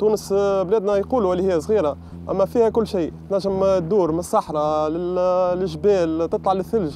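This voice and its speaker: A man with a high-pitched, dark and mellow voice speaks at a moderate pace with hardly any pauses. His intonation is fairly even, his loudness very even, and the background quiet. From Tunisia. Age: 20s. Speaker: traveler. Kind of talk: personal testimony. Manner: halting, many fillers.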